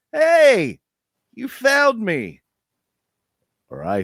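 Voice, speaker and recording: A man puts on a character voice pitched extremely high. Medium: actual play. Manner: friendly-sounding imitation.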